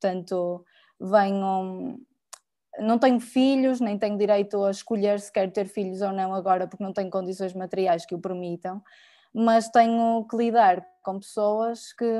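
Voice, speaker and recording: Speaking fairly slowly, a woman uses a medium pitch, a dark, mellow tone and fairly even intonation. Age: 30s. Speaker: designer and lecturer, activist. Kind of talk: panel talk. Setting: video call from her bedroom. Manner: hesitant, many fillers. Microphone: unstable internet connection.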